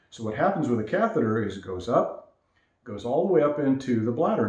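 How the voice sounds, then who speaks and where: A man's dark, mellow tone at a fairly quick pace, with audible room echo. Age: 60s. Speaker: vlogger sharing health experience. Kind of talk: casual first-person talk to camera. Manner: halting.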